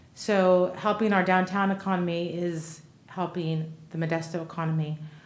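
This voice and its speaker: In a room with audible echo and noticeable background noise, a woman speaks at a moderate pace in a fairly low pitch with monotone, flat intonation. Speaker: city council member. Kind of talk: council meeting deliberation. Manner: normally loud. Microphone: too quiet at first, not speaking into mic.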